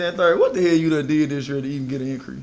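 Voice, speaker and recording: This voice is loud, with fairly even intonation. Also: man. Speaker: fitness trainer. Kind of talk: casual podcast chat.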